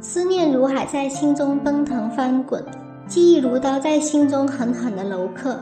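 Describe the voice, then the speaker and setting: Music plays in the background as a woman talks at a fairly slow pace with a high pitch and ordinary pitch variation. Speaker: TV drama commentator. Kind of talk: TV drama analysis narration.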